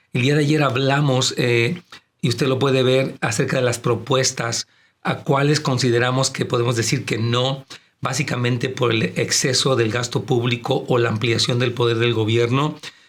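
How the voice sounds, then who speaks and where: A somewhat breathy man's voice at medium pitch, with fairly even intonation, very even loudness and a moderate pace. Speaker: pastor. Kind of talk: casual chat.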